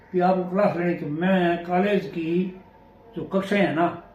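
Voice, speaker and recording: A man speaks with a high-pitched voice, and the room echo is audible. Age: 70s. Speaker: retired senior teacher. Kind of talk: interview.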